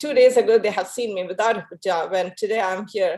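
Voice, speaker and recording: A woman's fairly high voice with a non-native accent, ordinary pitch variation and a moderate pace, over a quiet background. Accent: foreign. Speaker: physician. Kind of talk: panel discussion. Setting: video call.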